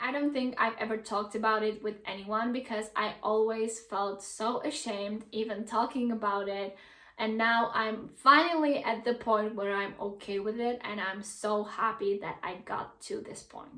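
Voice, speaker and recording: With a Czech accent, a woman talks at a fairly high pitch and a moderate pace, with hardly any pauses. Her tone is animated, and audible room echo surrounds her. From Czech Republic. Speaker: YouTuber. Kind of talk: vlog talking to camera.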